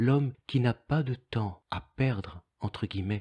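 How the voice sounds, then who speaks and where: Dry and close with no echo, a man's somewhat breathy, medium-pitched voice moves very slowly with ordinary pitch variation. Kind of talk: devotional text reading.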